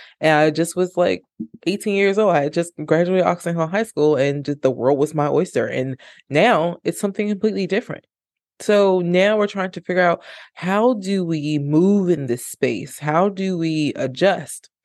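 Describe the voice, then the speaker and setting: A woman speaks in an animated tone with ordinary pitch variation. The background is quiet. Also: moderate pace. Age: 30s. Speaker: podcast host and spoken word poet. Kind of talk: personal testimony monologue.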